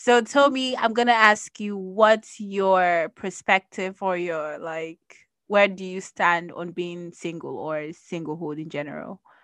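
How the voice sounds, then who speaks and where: In an ordinary speaking voice, the speaker talks at a fairly slow pace with ordinary pitch variation and big swings in loudness against a quiet background. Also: woman, medium pitch for a woman. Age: 20s. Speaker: podcast host. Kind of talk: casual chat.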